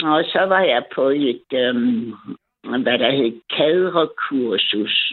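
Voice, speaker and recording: At a very slow pace, a woman speaks in a very deep, low voice with very even loudness and lively intonation. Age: 70s. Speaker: caller, retired embroidery hobbyist. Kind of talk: casual chat. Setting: phone call.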